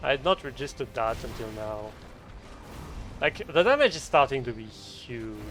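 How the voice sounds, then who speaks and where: A man with a French accent and medium pitch, at a moderate pace with long, frequent pauses, ordinary pitch variation and big swings in loudness. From France. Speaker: game streamer. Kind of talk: live gameplay stream commentary.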